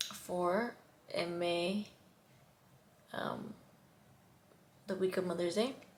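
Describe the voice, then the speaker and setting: Against noticeable background noise, a woman speaks at a very slow pace with long, frequent pauses, a medium pitch and fairly even intonation. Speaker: vlogger. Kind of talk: personal testimony to camera. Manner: halting, stuttering.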